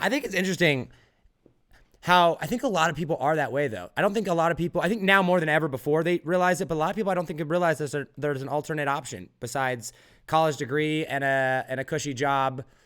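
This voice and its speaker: A man talks at a very fast pace and a fairly high pitch. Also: ordinary pitch variation, very clean recording, silent background. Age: 20s. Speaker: podcast host. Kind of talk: podcast interview.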